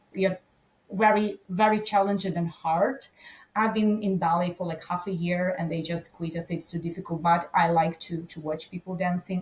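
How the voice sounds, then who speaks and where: In a Ukrainian accent, a woman speaks at a moderate pace with a medium pitch, fairly even intonation and a somewhat breathy sound. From Ukraine. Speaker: agribusiness conference director. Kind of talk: podcast interview. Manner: halting.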